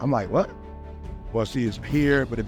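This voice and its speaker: The speaker talks at a very fast pace with an energetic, passionate tone. Music plays in the background. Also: man. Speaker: motivational speaker. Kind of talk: personal story told to an audience.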